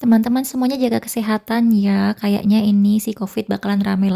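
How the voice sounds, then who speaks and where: Speaking at a very fast pace, a woman has a dark, mellow, somewhat breathy tone at medium pitch, recorded dry and close with no echo. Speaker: housewife vlogger. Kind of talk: casual cooking vlog narration. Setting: home kitchen.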